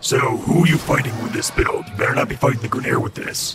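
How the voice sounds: Using a put-on character voice at medium pitch, a man rattles along at a very fast pace with slight echo and clear background noise.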